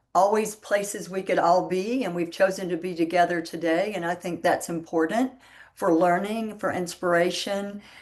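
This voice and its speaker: In a strong Southern US accent, a woman talks at a moderate pace and medium pitch with fairly even intonation. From US Deep South. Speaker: panel moderator, entrepreneur. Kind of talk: panel discussion moderation.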